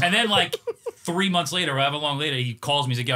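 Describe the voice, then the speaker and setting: Background noise is noticeable as a man talks at a very fast pace. His voice is fairly high, with ordinary pitch variation. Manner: storyteller.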